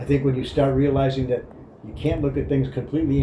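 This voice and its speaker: There is audible room echo. Background noise is noticeable. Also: man. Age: 60s. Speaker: spiritual life advice giver. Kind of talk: casual reflective monologue.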